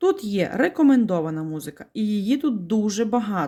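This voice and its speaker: A woman speaks at a fairly slow pace with a fairly high pitch, very wide pitch swings and a dark, mellow, somewhat breathy tone. The recording is very clean, with a silent background. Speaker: video blogger. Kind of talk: tutorial. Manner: explanatory, friendly.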